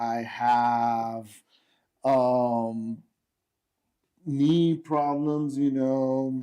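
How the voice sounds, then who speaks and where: In an American accent, a man speaks at medium pitch in a dark, mellow tone, his intonation monotone and flat. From Texas, El Paso. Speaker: military veteran. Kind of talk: casual chat.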